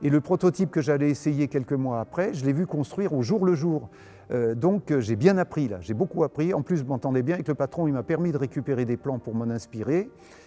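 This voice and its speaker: Over background music, a man talks at a fairly quick pace. His voice is fairly high, with lively intonation. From Paris region, France. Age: 80s+. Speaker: retired aerobatic pilot. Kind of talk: interview testimony. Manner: hesitant, many fillers.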